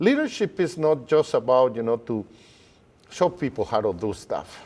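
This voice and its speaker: The speaker keeps a moderate pace while the pitch swings very widely. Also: man, fairly high pitch for a man. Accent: Spanish. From Guatemala. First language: Spanish. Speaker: educator. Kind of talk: interview.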